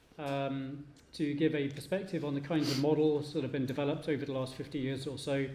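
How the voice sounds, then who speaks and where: Talking at a very fast pace, a man with a fairly high voice keeps a monotone, flat intonation while audible room echo surrounds him. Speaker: professor. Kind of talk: conference presentation.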